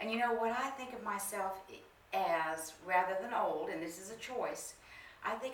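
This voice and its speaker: Moderate-paced speech with ordinary pitch variation, audible room echo and noticeable background noise. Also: woman. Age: 70s. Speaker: minister. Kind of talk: sermon.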